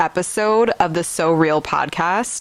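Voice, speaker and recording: In an American accent, a woman speaks at a medium pitch. Her pitch varies in an ordinary way. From US Midwest, Wisconsin (Milwaukee area). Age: 20s. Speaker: podcast host. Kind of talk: casual monologue podcast. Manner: halting, many fillers and restarts.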